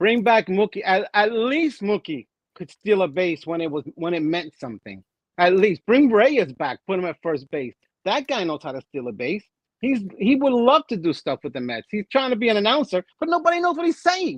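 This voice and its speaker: A man speaks at a moderate pace in a high pitch with very wide pitch swings. His tone is animated, and the sound is dry and close with no echo. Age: 60s. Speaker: sports podcast co-host. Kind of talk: casual chat.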